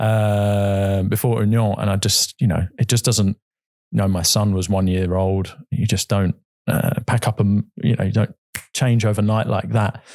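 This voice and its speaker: A man with a southern English accent talks at a moderate pace and fairly low pitch, with fairly even intonation and very even loudness, in a very clean recording with a silent background and a dry, close sound with no echo. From England, Brighton. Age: 40s. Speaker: football club chairman. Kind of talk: podcast interview. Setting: studio.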